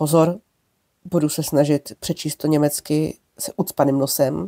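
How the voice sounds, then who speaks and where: A woman speaks with a very deep, low pitch at a fairly slow pace. The sound is dry and close, with no echo. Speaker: history podcaster on trams. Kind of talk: informal history narration. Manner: hesitant, with fillers.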